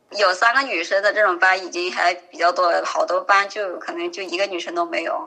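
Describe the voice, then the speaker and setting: The voice moves at a fairly quick pace with very wide pitch swings, against noticeable background noise. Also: woman, medium pitch for a woman, hardly any pauses. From rural China. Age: 20s. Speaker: software programmer. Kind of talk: interview.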